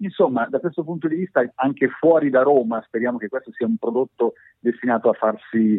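A man speaks at a medium pitch. He has a plain, everyday voice. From northern Italy, province of Pavia. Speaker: radio journalist and station director. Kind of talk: interview.

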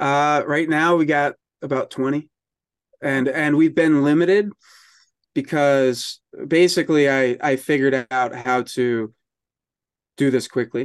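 Speaking in an unremarkable speaking voice with an American accent, a man has a medium pitch and ordinary pitch variation. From US Northeast, New York capital region. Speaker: magazine publisher and marketing business founder. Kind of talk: casual interview.

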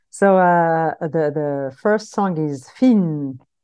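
With a dark, mellow tone, a woman speaks at a fairly low pitch and uses lively intonation. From Morocco-born, raised in Paris suburbs, France. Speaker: singer and composer. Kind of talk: interview. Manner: halting.

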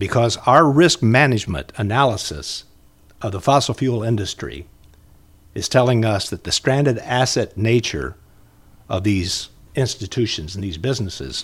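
On a very clean recording with a silent background, a man with an American accent speaks at a moderate pace and medium pitch, with ordinary pitch variation and vocal fry. His loudness swings widely, and he leaves long, frequent pauses. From Indiana, Muncie. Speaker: retired broadcaster and storyteller. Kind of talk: casual interview chat.

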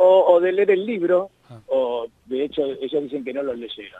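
At a moderate pace, a man talks with a fairly high pitch. His pitch swings very widely. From Argentina. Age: 50s. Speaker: journalist and author. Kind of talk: radio interview. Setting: phone call.

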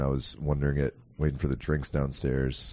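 His delivery moves fairly quickly. The man's voice has a dark, mellow tone. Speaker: podcast co-host and video editor. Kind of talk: casual chat.

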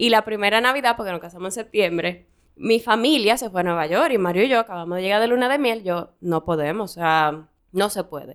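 An ordinary speaking voice from a woman at medium pitch, with lively intonation and a fairly quick pace, on a very clean recording with a silent background. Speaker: podcast co-host. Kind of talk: casual chat. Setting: studio.

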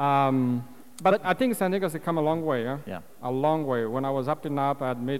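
A fairly high-pitched man with a non-native accent, a fairly quick pace and ordinary pitch variation. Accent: foreign-accented English. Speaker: winemaker. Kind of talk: wine tasting demonstration. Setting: stage with audience.

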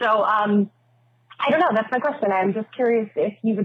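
A woman speaks in an ordinary speaking voice, fairly high in pitch. Her pitch varies in an ordinary way at a moderate pace. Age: 30s. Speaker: listener caller. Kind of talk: voicemail.

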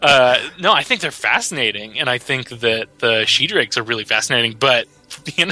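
Music plays in the background as a man speaks at a moderate pace with ordinary pitch variation, his sound dry and close with no echo. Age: 30s. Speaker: tabletop game writer. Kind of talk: interview.

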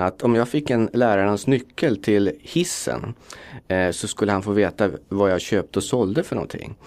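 Here is a man with a normal speaking voice and fairly low pitch. He talks at a moderate pace with lively intonation on a very clean recording with a silent background. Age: 40s. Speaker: fund manager. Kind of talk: interview.

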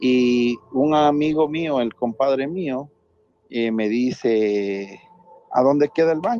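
Speaking at a very slow pace, a man with a medium pitch shows ordinary pitch variation. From Ecuador, Latacunga. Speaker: caller. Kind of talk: telling a personal ghost story. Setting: phone call.

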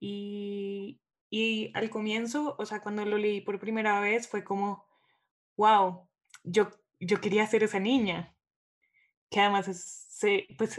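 Speaking at a very slow pace, a woman talks. Her pitch is medium. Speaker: podcast host. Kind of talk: casual literary discussion.

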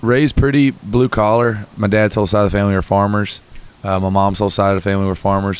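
With a Southern US accent, a man speaks at a fairly quick pace in a fairly low pitch with fairly even intonation, over noticeable background noise. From North Carolina. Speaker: musician. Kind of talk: interview. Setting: in person in Texas.

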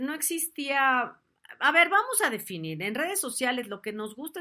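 Bright and sharp in tone, a voice with a Mexican accent moves through very wide pitch swings at a moderate pace, captured in a very clean recording with a silent background. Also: woman. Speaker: talk show host. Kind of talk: casual chat. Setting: live stream. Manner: animated.

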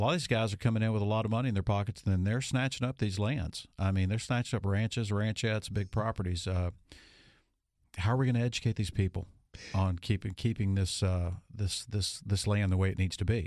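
In a Louisiana accent, the speaker talks at a very fast pace with very even loudness and fairly even intonation on a very clean recording with a silent background. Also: man, fairly low pitch for a man. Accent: Louisiana Southern US. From Monroe, northern Louisiana. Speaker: radio host. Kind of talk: radio talk show; ad read.

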